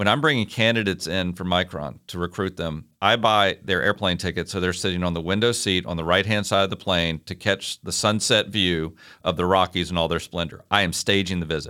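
Speaking with a Virginia accent, a man with a very deep, low pitch and a bright, sharp tone moves at a fairly quick pace with fairly even intonation on a very clean recording with a silent background. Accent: Southern US (Virginia). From US South, Virginia (Hopewell, near Richmond). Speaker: city parks administrator. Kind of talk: interview.

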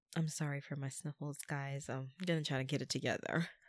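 A woman's voice in a very clean recording with a silent background and a dry, close sound with no echo. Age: 20s. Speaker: podcaster. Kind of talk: faith-based solo podcast monologue with prayer. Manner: reflective, emotional.

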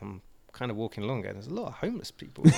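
The speaker is a man with an English accent. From Swindon, England. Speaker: guest. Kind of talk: casual banter.

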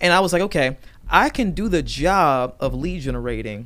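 An animated tone carries the speech along at a moderate pace. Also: man. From Virginia, US. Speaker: real estate agent. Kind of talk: casual chat.

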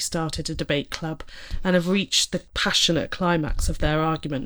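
A woman with an English accent on a very clean recording with a silent background. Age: 30s. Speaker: parent and writer of reflections. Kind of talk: casual chat; reading aloud.

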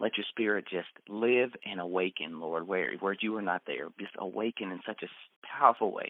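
A slight Texas accent, moderate pace and ordinary pitch variation. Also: man, fairly low pitch for a man. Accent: slight Texas twang. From Texas, raised in Central Florida. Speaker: marriage ministry leader. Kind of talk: personal testimony.

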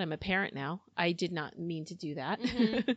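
A woman with an American accent has a normal speaking voice and ordinary pitch variation. She talks at a moderate pace over a quiet background. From United States. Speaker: book club host. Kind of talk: casual chat. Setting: studio.

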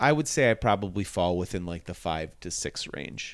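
A man with a very deep, low pitch at a moderate pace, in a very clean recording with a silent background. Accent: Buffalo. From Buffalo, New York. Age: 40s. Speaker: comedian. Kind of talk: casual chat.

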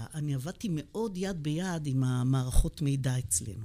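A woman's very deep, low voice with a dark, mellow tone and very wide pitch swings. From Israel, Beersheba (south). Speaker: physician and epidemiology professor. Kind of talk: interview conversation.

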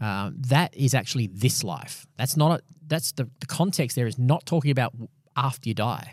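In an Australian accent, a somewhat breathy voice speaks at a moderate pace with ordinary pitch variation, in a dry, close sound with no echo on a very clean recording with a silent background. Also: man, medium pitch for a man. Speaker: pastor and podcast host. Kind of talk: casual Bible discussion. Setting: studio recording, also filmed for video.

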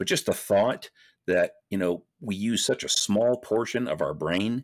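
A man speaks with lively intonation. The sound is dry and close with no echo, very clean, with a silent background. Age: 50s. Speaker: author and former pastor. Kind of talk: casual interview. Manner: halting, many fillers and repetitions.

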